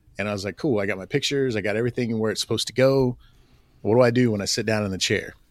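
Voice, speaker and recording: The recording is very clean, with a silent background. A man speaks very fast at a medium pitch. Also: fairly even intonation. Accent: Southern US. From Oklahoma. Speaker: assistant principal. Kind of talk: casual interview.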